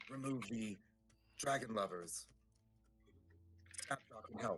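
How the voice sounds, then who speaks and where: Putting on a raspy character voice, a man talks at a fairly slow pace and a medium pitch. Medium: actual play. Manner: halting broken speech.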